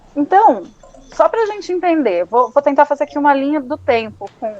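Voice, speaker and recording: With a dry, close sound with no echo and noticeable background noise, a woman talks at a moderate pace in an animated tone, with a high pitch and very wide pitch swings. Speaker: psychoanalyst. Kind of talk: educational talk. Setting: live stream.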